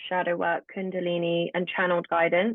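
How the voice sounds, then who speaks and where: A fairly quick delivery in a British accent. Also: woman. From England. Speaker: spiritual practitioner, tarot reader. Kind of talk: podcast interview.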